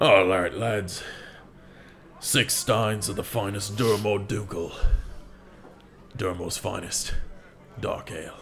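A man uses a raspy, put-on character voice at a fairly low pitch. Long, frequent pauses break his speech over clear background noise. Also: fairly slow pace. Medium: actual play. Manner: gruff, blunt.

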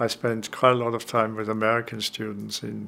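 A man speaks with an Austrian accent. Noticeable background noise sits behind him. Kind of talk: interview about personal experience. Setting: at home. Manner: halting, searching for words.

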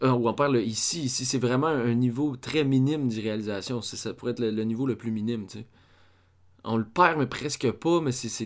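At a moderate pace, a man speaks with a medium pitch and ordinary pitch variation in a very clean recording with a silent background. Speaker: film theory podcaster. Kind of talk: lecture. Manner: halting. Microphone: far from the mic.

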